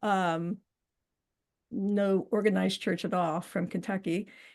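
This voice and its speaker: Against a quiet background, a woman with vocal fry speaks at a fairly slow pace. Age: 60s. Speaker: interview guest, widow. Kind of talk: casual interview, personal testimony. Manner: hesitant, with many filler words.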